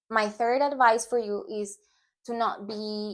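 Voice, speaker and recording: The recording is very clean, with a silent background. A woman speaks in a Spanish accent. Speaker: language teacher YouTuber. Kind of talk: tutorial. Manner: casual, with hesitations.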